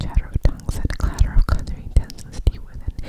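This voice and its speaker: Someone whispers at a fairly quick pace. Noticeable background noise is present. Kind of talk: ASMR whispered book reading. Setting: studio, close to microphone. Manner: whispered, close-mic.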